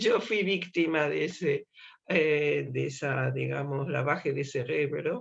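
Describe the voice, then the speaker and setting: The speaker has an Argentine accent. The pace is very slow. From Argentina, Buenos Aires. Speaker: activist speaker. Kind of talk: public talk. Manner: many filler words. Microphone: slight beeping noise on line.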